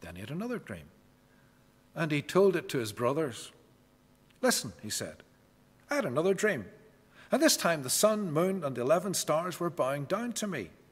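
Using vocal fry, a man speaks at a moderate pace, with long, frequent pauses and big swings in loudness. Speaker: preacher or scripture reader. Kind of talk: scripture reading. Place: church.

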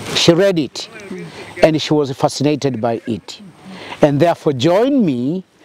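A man talks at a moderate pace, the sound dry with no echo and light noise in the background. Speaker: interviewee. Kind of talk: interview answer. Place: open country.

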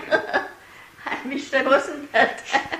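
A woman speaks with light background noise and audible room echo. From Eastern Pennsylvania, USA. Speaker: great grandmother interviewee. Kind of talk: oral history interview answer. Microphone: old recording.

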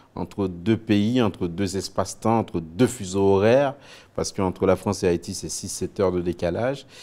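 A man's dark, mellow voice at a fairly slow pace. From Haiti, Port-au-Prince; Haiti. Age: 40s. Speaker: TV news anchor and author; TV news anchor. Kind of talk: interview. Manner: hesitant, many fillers and repetitions. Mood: reflective, earnest. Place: studio. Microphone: lapel.

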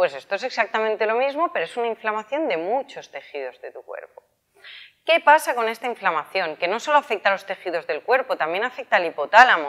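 A woman talks very fast against a quiet background. Her pitch swings very widely and her loudness shifts a lot. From Spain. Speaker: health and wellness youtuber; wellness youtuber. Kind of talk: casual explanatory vlog. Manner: animated. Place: shop. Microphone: lapel.

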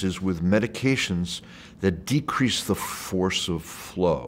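With light background noise, a man speaks at a very deep, low pitch. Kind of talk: interview answer. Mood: calm, explanatory. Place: hall. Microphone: lapel.

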